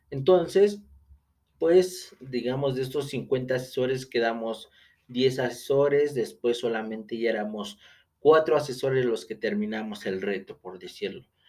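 A man with a medium-pitched voice talks with lively intonation. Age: 30s. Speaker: podcast host, real estate agent. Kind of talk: solo podcast monologue. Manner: hesitant, many fillers.

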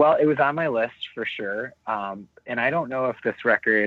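A man speaks in an ordinary speaking voice at a medium pitch, with ordinary pitch variation and a moderate pace. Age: 30s. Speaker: musician in a power pop band. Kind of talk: casual panel discussion.

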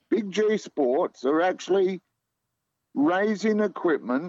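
With an Australian accent and lively intonation, a man speaks in a dry, close sound with no echo. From Australia, Melbourne. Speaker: community sport organiser and podcaster. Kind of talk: radio interview.

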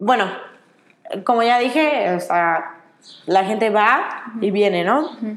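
Audible room echo surrounds a woman with a fairly high pitch who talks at a very slow pace, leaving long, frequent pauses. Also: lively intonation. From Mexico. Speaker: children's activities worker on a cruise ship. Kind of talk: interview. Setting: outdoors.

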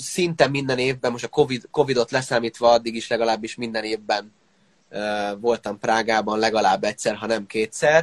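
This man has an unremarkable speaking voice at a medium pitch, talking at a moderate pace with ordinary pitch variation in a dry, close sound with no echo. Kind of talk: casual interview. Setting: online live interview.

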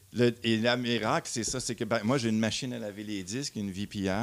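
A normal speaking voice from a man at a fairly low pitch and moderate pace, with a dry, close sound and no echo. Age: 50s. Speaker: vinyl audio columnist. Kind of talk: casual chat.

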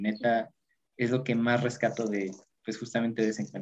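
His pitch is medium for a man. He keeps to a moderate pace throughout. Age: 20s. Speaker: youth group treasurer. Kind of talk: casual chat.

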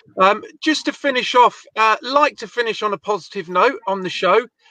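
A man's raised, projected voice, high-pitched with a bright, sharp tone, dry and close with no echo. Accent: English. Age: 40s. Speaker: podcast host. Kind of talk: casual chat.

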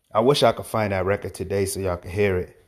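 On a very clean recording with a silent background, a man speaks with an American accent at a fairly low pitch. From Hartford, Connecticut, US. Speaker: rapper and podcast host. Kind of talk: solo monologue podcast. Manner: casual, halting with fillers.

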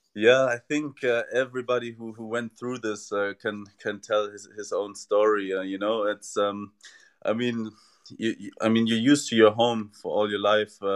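Over a quiet background, a man talks at a moderate pace with a medium pitch and monotone, flat intonation, though his loudness swings widely. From Germany. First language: German. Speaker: tennis player, former college athlete. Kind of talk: interview.

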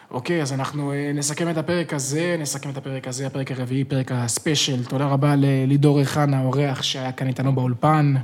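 With noticeable background noise behind him, a man speaks fairly quickly and hardly pauses. His pitch is fairly high and his intonation monotone and flat. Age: 20s. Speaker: podcast host. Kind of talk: casual chat. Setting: studio.

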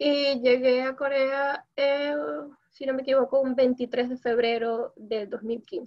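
A woman with a high pitch and fairly even intonation speaks at a very slow pace. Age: 20s. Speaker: Venezuelan living in Korea, interviewee. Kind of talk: casual chat.

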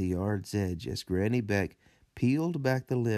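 What's heard here is plain reading aloud.

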